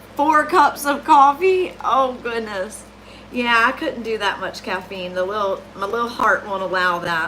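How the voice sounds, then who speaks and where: Her voice is fairly high, with very wide pitch swings. The woman speaks fairly slowly in a Southern US accent. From US South. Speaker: cookie decorator. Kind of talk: livestream tutorial chat. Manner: casual, chatty.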